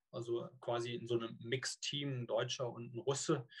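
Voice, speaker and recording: A man's medium-pitched, somewhat breathy voice with monotone, flat intonation. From Rhineland, Cologne. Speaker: long-distance swimmer and swim coach. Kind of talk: interview. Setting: video call.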